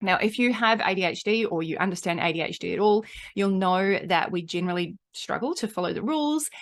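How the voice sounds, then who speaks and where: A woman with a slight New Zealand accent, medium pitch, ordinary pitch variation and a fairly quick pace, against a quiet background. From New Zealand, Auckland. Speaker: marketing coach and podcaster. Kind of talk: podcast monologue. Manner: animated.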